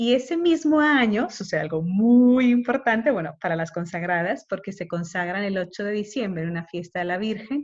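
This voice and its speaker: Behind the speaker, things stay quiet. There is a somewhat breathy quality to the voice. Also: woman. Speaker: consecrated woman teaching a course. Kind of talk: lecture. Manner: fast. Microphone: unstable connection.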